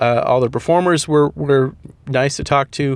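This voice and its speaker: A fairly high-pitched man with ordinary pitch variation at a fairly quick pace. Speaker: playwright and solo theater performer, podcast host. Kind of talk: solo podcast monologue. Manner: loud; halting, many fillers.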